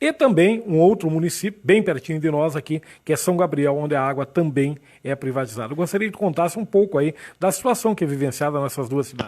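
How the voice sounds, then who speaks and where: Speaking at a fairly quick pace, a man with a fairly high pitch uses lively intonation. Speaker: program host. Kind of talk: radio/TV interview. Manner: fast.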